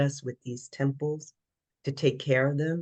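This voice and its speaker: A woman with a very deep, low pitch and a somewhat breathy voice speaks at a fairly slow pace with monotone, flat intonation, recorded dry and close with no echo. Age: 70s. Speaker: fitness trainer. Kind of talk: interview.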